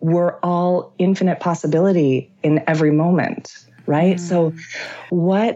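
At a moderate pace, a woman with a fairly low pitch speaks in an animated tone. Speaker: author and actor. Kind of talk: casual interview conversation. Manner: animated, joyful, laughs often.

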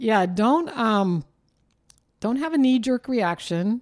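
The voice moves at a very slow pace with very wide pitch swings on a very clean recording with a silent background. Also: woman. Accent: Californian. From southern California. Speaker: retired legal office worker. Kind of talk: casual chat.

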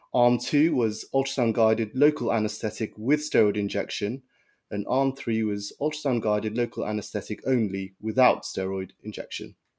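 A man with an ordinary speaking voice and a medium pitch speaks at a moderate pace with fairly even intonation on a very clean recording with a silent background. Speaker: doctor, returning guest. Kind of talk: podcast journal review.

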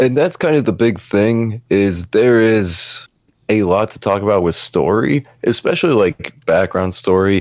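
A man with a plain, everyday voice speaks at a fairly slow pace in a fairly low pitch. His intonation is lively, and the sound is dry and close with no echo. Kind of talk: casual chat about video games.

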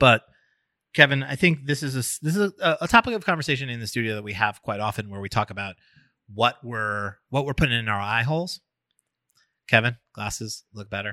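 Recorded very cleanly against a silent background with a dry, close sound and no echo, a man with a medium-pitched voice speaks at a fairly quick pace in a bright, sharp tone, using lively intonation and big swings in loudness. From New York. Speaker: podcast host. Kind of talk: casual chat.

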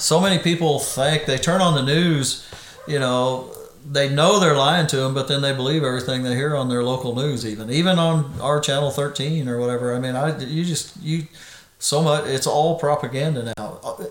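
With noticeable background noise and audible room echo, a man with a fairly high pitch speaks at a moderate pace in fairly even intonation. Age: 50s. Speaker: golfer and podcast guest. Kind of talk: casual chat.

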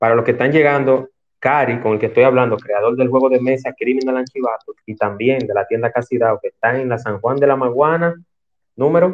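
This man has an ordinary speaking voice, talking at a fairly quick pace with a medium pitch and ordinary pitch variation. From Santo Domingo, Dominican Republic. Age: 40s. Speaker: talk show host. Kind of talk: interview. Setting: online audio room.

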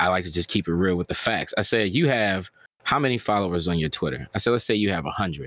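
A man's very deep, low voice, very fast and very even in loudness, with lively intonation. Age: 30s. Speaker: YouTube gaming content creator. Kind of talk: casual chat.

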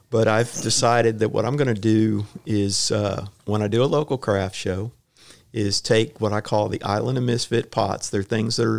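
At a moderate pace, a man with a Texan accent speaks at medium pitch and fairly even intonation on a very clean recording with a silent background. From Houston, Texas. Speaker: retired firefighter and potter. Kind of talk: casual interview. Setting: chamber of commerce office.

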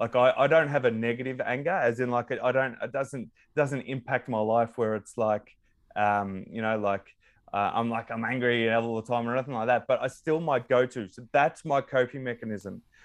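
With a quiet background, a man at a medium pitch keeps a moderate pace and fairly even intonation. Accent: Australian. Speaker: psychology student and former tradesman. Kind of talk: casual interview. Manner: halting, many repetitions.

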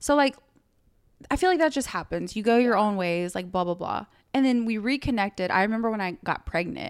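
Her tone is animated and her intonation lively, at a fairly high pitch for a woman. She talks at a fairly quick pace, and the recording is very clean with a silent background. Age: 20s. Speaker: podcast co-host. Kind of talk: casual chat.

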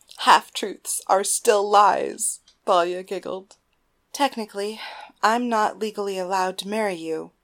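Reading aloud in a natural voice, with fairly even intonation, over a quiet background.

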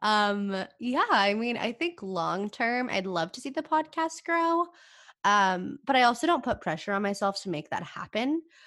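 A woman's fairly high, bright, sharp voice with very wide pitch swings, a moderate pace and a quiet background. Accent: American. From California, small town. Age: 20s. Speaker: podcaster and university student. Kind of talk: casual interview chat.

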